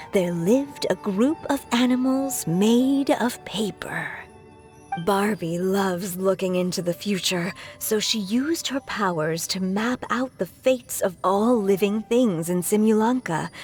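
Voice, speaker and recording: A put-on character voice with a warm tone speaks at a fairly slow pace. Clear music plays in the background. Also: female-sounding voice, medium pitch for a woman. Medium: video game. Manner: warm, wry, affectionate.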